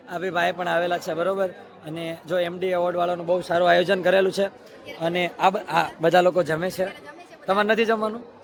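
A man with a high pitch speaks in a monotone, flat intonation, with crowd noise in the background and audible room echo. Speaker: YouTube vlogger. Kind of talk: casual vlog. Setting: event venue.

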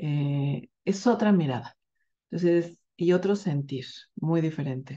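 A woman's very deep, low voice with a dark, mellow tone, set against a quiet background. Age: 50s. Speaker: women's health workshop facilitator. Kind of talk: workshop promo talk. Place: home room. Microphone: webcam.

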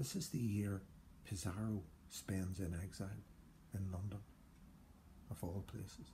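A man's somewhat breathy, dark, mellow voice of fairly low pitch, at a fairly slow pace with ordinary pitch variation and long, frequent pauses, over light background noise. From Northern Ireland. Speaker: poet. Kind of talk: poem reading, performed. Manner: measured, literary delivery; formal. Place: home room. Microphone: phone near.

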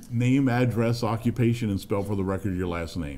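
A man speaks with lively intonation, a dark, mellow tone and a fairly low pitch.

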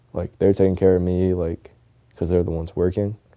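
A soft-spoken man with an American accent talks at a fairly quick pace in a very deep, low voice of dark, mellow tone, his intonation monotone and flat, against a quiet background. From Tampa, Florida. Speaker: professional skateboarder. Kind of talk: documentary interview answer. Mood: soft-spoken, reflective, somber. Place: home room.

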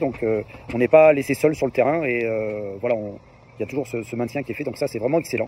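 A man talks at a very fast pace with ordinary pitch variation. The sound is dry with no echo, though light background noise is present. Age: 50s. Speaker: fitness program client giving testimonial. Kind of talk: testimony. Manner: hesitant, many filler words. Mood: positive, enthusiastic. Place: open country. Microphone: phone near.

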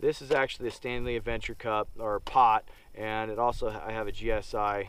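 Loud background noise behind a man's voice, dry with no echo, with ordinary pitch variation. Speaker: outdoor gear reviewer. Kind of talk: casual gear review talk. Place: open country.

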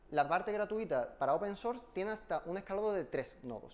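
This man's intonation is lively. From Spain. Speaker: software engineer giving a tech talk; conference presenter. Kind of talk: technical talk with live demo. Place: meeting room.

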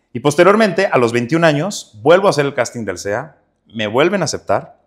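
Very wide pitch swings from a fairly high-pitched man at a fairly quick pace, on a very clean recording with a silent background. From northern Mexico, Ciudad Juárez, Chihuahua. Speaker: actor. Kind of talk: interview.

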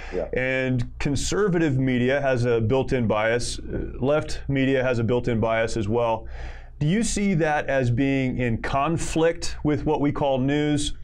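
A man's voice with ordinary pitch variation, a fairly slow pace and very even loudness, over a quiet background. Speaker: podcast host. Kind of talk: interview. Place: studio. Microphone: studio mic.

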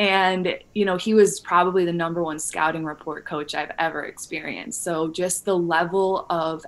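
A woman with a fairly low pitch speaks in an American accent. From Illinois, US Midwest. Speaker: wellness entrepreneur and coach; podcast guest. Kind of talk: casual interview. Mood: warm, upbeat. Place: home room. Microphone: studio mic.

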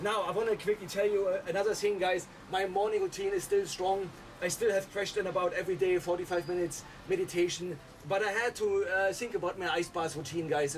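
A strained, high-pitched man rushes at a very fast pace with fairly even intonation, light background noise behind him. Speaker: mindset coach. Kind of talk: casual vlog chat. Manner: strained speech while sitting in ice water. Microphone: phone near.

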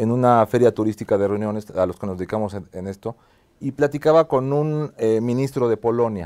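A man talks at a moderate pace with lively intonation. His tone is dark and mellow. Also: quiet background. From Mexico. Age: 50s. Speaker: TV show host, business executive; TV show host. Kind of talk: interview. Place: studio. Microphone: lapel.

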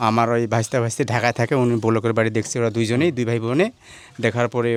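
Here a man uses an unremarkable speaking voice of medium pitch with fairly even intonation. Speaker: client's younger brother overseeing the build. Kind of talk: casual interview.

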